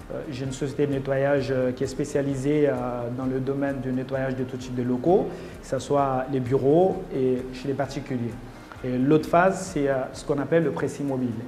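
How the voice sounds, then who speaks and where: Amid noticeable background noise and audible room echo, a man with a medium pitch speaks at a moderate pace with fairly even intonation. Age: 30s. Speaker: entrepreneur, competition candidate. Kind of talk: interview testimony. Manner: halting, many hesitations.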